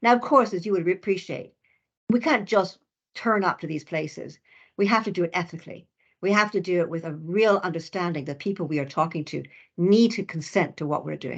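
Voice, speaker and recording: A woman with a Canadian accent at a fairly quick pace, with ordinary pitch variation. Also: fairly low pitch for a woman, quiet background. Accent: Canadian, noticeable. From Canada. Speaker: professor, researcher. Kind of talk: lecture.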